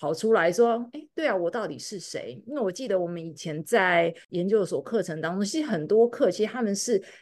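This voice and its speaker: Against a quiet background, a woman speaks at a moderate pace in an unremarkable speaking voice, with fairly high pitch and lively intonation. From Taiwan. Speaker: podcast host, clinician. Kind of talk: casual conversation.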